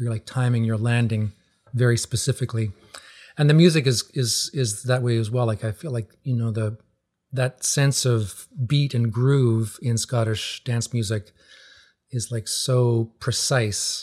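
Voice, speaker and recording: Somewhat breathy and at a medium pitch, a man speaks at a fairly slow pace with fairly even intonation, in a dry, close sound with no echo. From Newfoundland, Canada. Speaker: folk musician and teacher. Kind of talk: casual interview. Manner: halting, many repeated words and fillers.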